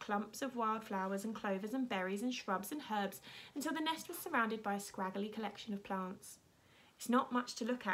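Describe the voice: The text is read aloud plainly, and the pitch varies in an ordinary way.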